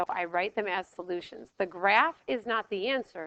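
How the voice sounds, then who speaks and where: With vocal fry and a bright, sharp tone, a woman talks at medium pitch and a moderate pace, her pitch moving normally in a dry, close recording with no echo. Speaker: math teacher. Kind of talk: lecture.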